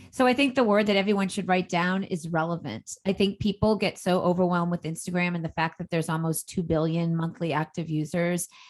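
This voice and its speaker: A woman with a Boston accent speaks at a fairly quick pace with a fairly low pitch. Her tone is energetic, with hardly any pauses. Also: ordinary pitch variation. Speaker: entrepreneur and social media coach. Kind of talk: podcast interview.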